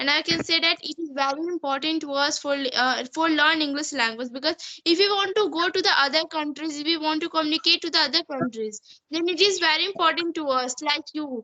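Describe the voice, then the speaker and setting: Using a raised, projected voice, a woman with a high pitch and bright, sharp tone talks at a fairly quick pace with ordinary pitch variation and hardly any pauses. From India. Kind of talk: casual video call English practice conversation.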